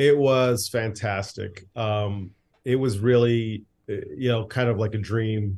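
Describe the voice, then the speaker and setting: In a plain, everyday voice, a man with an American accent talks fairly slowly at a medium pitch, his intonation fairly even. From US. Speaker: film director and writer, former radio host. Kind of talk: casual interview chat.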